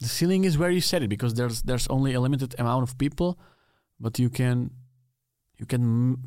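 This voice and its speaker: A man with a Czech accent speaks at medium pitch and a fairly quick pace, leaving long, frequent pauses. His dark, mellow tone shows ordinary pitch variation on a very clean recording with a silent background. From Czech Republic. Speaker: podcast host. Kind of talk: casual interview chat. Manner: halting in English.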